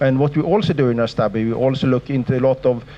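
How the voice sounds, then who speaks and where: Very fast talking from a man at a medium pitch with ordinary pitch variation, over noticeable background noise. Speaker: sleep researcher, professor. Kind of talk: lecture. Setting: lecture hall with audience.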